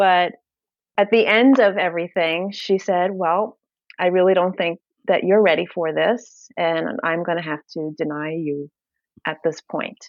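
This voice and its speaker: Speaking fairly slowly in a Brooklyn accent, a woman has a fairly low pitch. Her pitch variation is ordinary. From New York, Brooklyn. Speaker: bariatric powerlifter and fitness influencer. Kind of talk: podcast interview.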